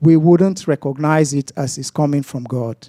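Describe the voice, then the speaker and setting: A man's dark, mellow voice at a fairly slow pace, with ordinary pitch variation and a dry, close sound with no echo. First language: non-English mother tongue. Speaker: lay preacher. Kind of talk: sermon. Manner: halting, many fillers and restarts.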